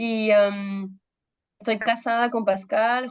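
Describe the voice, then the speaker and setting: Against a quiet background, a woman speaks at a very slow pace. Her intonation stays fairly even. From Peru. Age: 30s. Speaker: pastor. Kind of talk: testimony. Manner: halting, many fillers.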